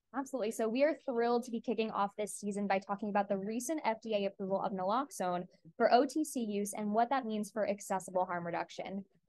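This woman talks very fast with hardly any pauses, in an American accent. Her voice is fairly high, with ordinary pitch variation. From Long Island, New York. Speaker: pharmacy student, podcast co-host. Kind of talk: scripted podcast trailer.

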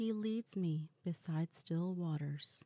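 A woman's calm, gentle voice, fairly low in pitch and dark and mellow in tone, at a very slow pace with ordinary pitch variation, in a dry, close sound with no echo. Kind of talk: scripture reading. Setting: quiet, no background noise.

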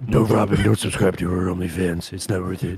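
Very deep, low male voice, gruff and gravelly, in a put-on character voice at a fairly quick pace.

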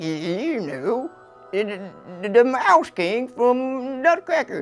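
A cartoonish character voice speaks very slowly at a fairly high pitch. Faint music plays in the background. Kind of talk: comedic puppet show dialogue.

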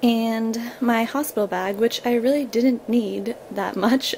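A woman's voice over light background noise. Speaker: new mother vlogger. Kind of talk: casual vlog chat. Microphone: phone near.

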